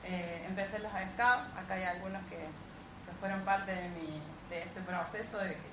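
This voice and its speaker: A woman speaks at a medium pitch with ordinary pitch variation. Audible room echo and noticeable background noise surround her voice. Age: 40s. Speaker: independent sales businesswoman. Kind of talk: testimony.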